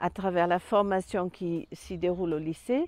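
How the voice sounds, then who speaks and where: A woman with a Danish accent and a dark, mellow tone, speaking very slowly in a dry, close sound with no echo. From Denmark. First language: Danish (speaking French). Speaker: sheep farmer and agricultural representative. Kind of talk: self-presentation portrait.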